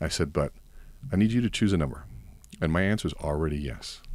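In a very clean recording with a silent background, a man speaks at a very deep, low pitch with vocal fry and very wide pitch swings. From Cuban-American family. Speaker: coach and course seller. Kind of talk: casual podcast interview.

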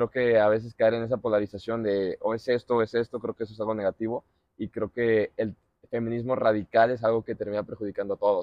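A man speaks very fast with a Mexican accent and monotone, flat intonation. The background is quiet and the sound is dry with no echo. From Mexico. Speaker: podcast host, former footballer; podcast host. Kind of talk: casual chat. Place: garden. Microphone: lapel.

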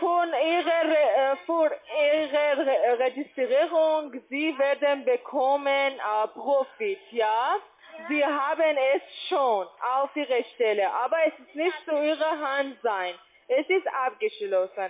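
Over light background noise, a woman speaks at a high pitch and a very slow pace. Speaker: telemarketer; caller. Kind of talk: sales pitch. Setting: phone call. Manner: halting. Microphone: phone line.

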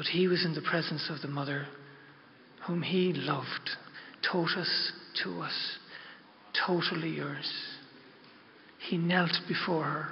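A soft-spoken man with an Irish accent, fairly slow and fairly even in intonation, with long, frequent pauses over light background noise. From Ireland. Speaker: pilgrim guide. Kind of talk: religious talk to an audience. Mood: reverent, heartfelt. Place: hall. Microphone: podium.

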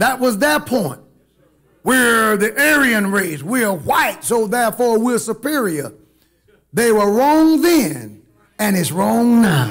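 A man's very slow speech against a quiet background. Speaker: preacher. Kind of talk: sermon. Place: church. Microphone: podium.

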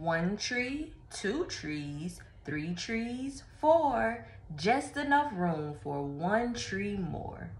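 A woman talks at a very slow pace, her pitch swinging very widely. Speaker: storyteller. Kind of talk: children's read-aloud. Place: home room. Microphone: phone near.

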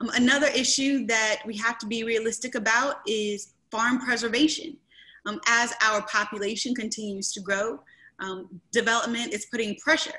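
With an American accent, a woman speaks at a moderate pace in a fairly high pitch. Her tone is bright and sharp, and her pitch varies in an ordinary way. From rural eastern North Carolina. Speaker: county commissioner and candidate; candidate. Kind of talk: candidate forum. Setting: video call. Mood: earnest, measured. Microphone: video call.

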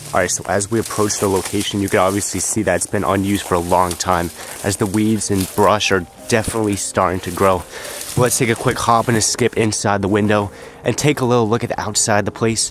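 With music in the background, the voice moves at a very fast pace, with fairly even intonation and a dry sound with no echo. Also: man, fairly low pitch for a man. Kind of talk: casual vlog commentary. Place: open country.

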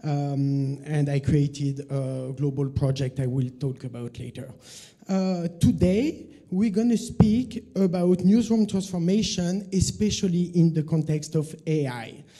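The speaker has a French accent and lively intonation. The pace is fairly slow against a quiet background. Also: man, fairly high pitch for a man. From France. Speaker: journalist and media consultant; conference presenter. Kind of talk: conference talk. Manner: hesitant, many fillers. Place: hall.

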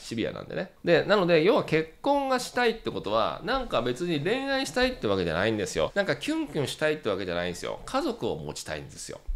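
A man rushes along at a very fast pace with hardly any pauses. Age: 40s. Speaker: dating coach. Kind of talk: tutorial. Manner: animated.

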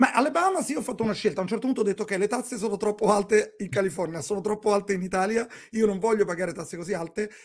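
A man speaks with a high-pitched voice. The background is quiet. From Rome, Italy; Italy. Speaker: entrepreneur; podcast guest. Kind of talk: interview. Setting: video call. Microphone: earbuds.

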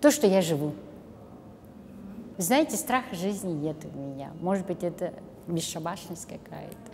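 A woman's voice with very wide pitch swings at a fairly slow pace, over light background noise. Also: fairly low pitch for a woman. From Kazakhstan. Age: 60s. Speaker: volunteer and math teacher; math teacher. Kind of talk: interview monologue. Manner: halting. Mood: warm, reflective. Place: studio.

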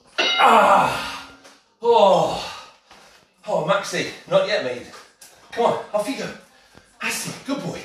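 A man speaks at a very slow pace with audible room echo and faint music in the background. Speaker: fitness instructor. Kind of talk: workout class instruction. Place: kitchen. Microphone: camera far.

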